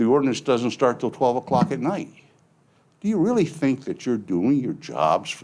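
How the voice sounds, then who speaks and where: Speaking at a fairly quick pace against a quiet background, a man with a medium pitch and vocal fry makes very wide pitch swings. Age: 70s. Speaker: resident speaking at public comment. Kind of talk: public comment at county board meeting. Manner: emphatic, pleading.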